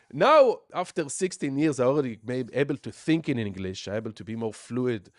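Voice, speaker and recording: Against a quiet background, a man with a medium pitch talks at a fairly quick pace with lively intonation, in a dry, close sound with no echo. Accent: strong Israeli. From Israel. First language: Hebrew. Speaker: music producer and teacher. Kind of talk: casual chat. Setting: live stream from home studio. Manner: animated.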